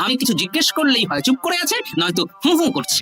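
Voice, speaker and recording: Over clear background music, a cartoonish character voice races along at a very fast pace, sitting at a fairly high pitch with very wide pitch swings. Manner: chatty, grumbling.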